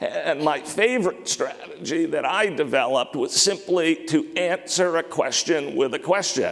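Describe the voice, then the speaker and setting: A man speaks with hardly any pauses over noticeable background noise. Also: moderate pace. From Maine, US. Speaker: company CEO, conference speaker. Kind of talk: conference talk. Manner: choppy, sometimes hard to hear.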